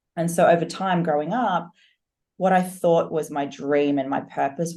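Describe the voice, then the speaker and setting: Against a quiet background, a woman with a dark, mellow tone speaks at a moderate pace with ordinary pitch variation. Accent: Australian. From Australia, Sydney. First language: German. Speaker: fitness coach and online entrepreneur. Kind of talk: podcast interview.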